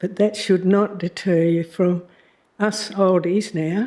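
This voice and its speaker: A woman with an Australian accent, medium pitch, a dark, mellow tone and fairly even intonation. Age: 80s+. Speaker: member of the public. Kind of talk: public statement. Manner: halting.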